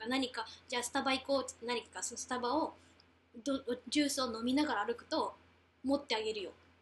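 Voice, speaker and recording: Delivered at a very fast pace with fairly even intonation, the speech is broken by long, frequent pauses. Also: woman, high pitch for a woman. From Japan, Beppu, Oita. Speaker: former student and dancer in New York. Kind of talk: casual chat.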